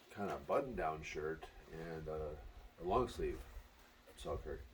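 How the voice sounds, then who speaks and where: Audible room echo follows a man who talks at a very slow pace. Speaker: pickleball player and brand advocate. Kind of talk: unboxing video. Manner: quiet, hushed.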